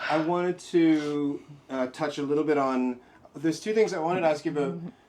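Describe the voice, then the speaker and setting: Amid noticeable background noise, a man talks at a fairly quick pace and a fairly high pitch with fairly even intonation. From Southern Africa. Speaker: book club host. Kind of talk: interview. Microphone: somewhat poor audio quality.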